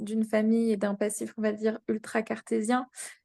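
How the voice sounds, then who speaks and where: The voice moves at a moderate pace with a flat, monotone intonation. The sound is dry and close with no echo, over a quiet background. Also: woman. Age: 30s. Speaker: engineer sharing a training testimonial. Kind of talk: testimony interview. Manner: hesitant, many fillers.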